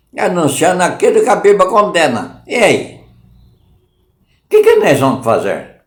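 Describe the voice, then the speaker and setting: A man speaks at a fairly slow pace, and audible room echo is present. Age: 70s. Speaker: lay preacher. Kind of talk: sermon. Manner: informal, repetitive.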